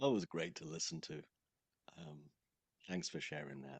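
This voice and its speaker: A man's very deep, low voice with vocal fry. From Wales. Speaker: sales coach. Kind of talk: casual conversation.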